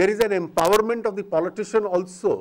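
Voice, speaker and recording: Here a man with a high-pitched voice talks at a fairly quick pace with ordinary pitch variation. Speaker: government minister. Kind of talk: lecture. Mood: wry, lightly joking. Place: hall. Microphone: podium.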